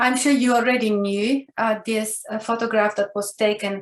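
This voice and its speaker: A woman speaks in an Italian accent at a moderate pace. Her pitch is fairly high and her intonation fairly even. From Italy. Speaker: professor. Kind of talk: lecture.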